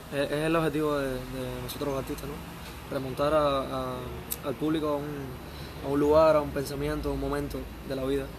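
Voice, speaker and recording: Over noticeable background noise, a man speaks at a fairly quick pace broken by long, frequent pauses. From Ciego de Ávila, Cuba; Cuba. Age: 20s. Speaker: singer and songwriter; interviewee. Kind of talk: interview. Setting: outdoor bar terrace. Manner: halting. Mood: relaxed, reflective.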